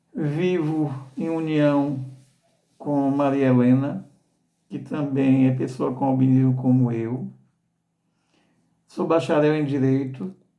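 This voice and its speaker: A man's fairly high voice with a dark, mellow tone, very slow and fairly even, broken by long, frequent pauses. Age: 60s. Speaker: association director and albinism advocate. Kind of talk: informational talk. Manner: halting with repetitions.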